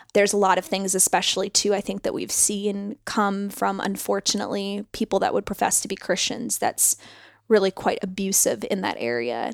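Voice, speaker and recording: In a very clean recording with a silent background and a dry, close sound with no echo, a woman speaks at a moderate pace with medium pitch, ordinary pitch variation and vocal fry. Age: 30s. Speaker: podcast host. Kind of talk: casual chat.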